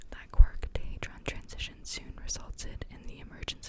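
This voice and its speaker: Whispering comes through at a moderate pace over noticeable background noise. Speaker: ASMR creator and book reader. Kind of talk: ASMR book reading with occasional commentary. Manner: whispered, relaxing.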